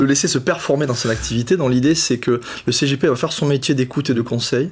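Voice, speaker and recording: Speaking very fast with a southern French accent, a man sounds somewhat breathy. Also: medium pitch for a man, ordinary pitch variation. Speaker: fintech co-founder, former private banking director. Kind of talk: interview. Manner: hesitant, many fillers and repetitions.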